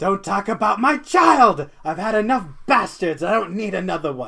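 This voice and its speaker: A put-on character voice at a middle pitch, growling throughout. It moves at a moderate pace. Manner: angry.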